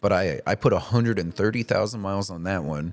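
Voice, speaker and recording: Speaking fairly quickly in a normal speaking voice, a man keeps a fairly low pitch with ordinary pitch variation. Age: 30s. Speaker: podcast co-host. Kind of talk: casual chat.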